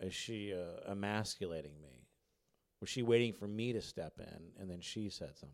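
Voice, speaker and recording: In an American accent, a man speaks at a moderate pace and a fairly low pitch, with ordinary pitch variation and big swings in loudness, a normal speaking voice. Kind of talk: casual interview chat. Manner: joking, self-deprecating.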